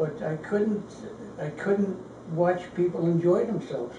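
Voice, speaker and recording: There is noticeable background noise behind this man. He speaks at a moderate pace with a high pitch. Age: 80s+. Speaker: World War II Marine veteran. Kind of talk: interview conversation. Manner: casual, candid.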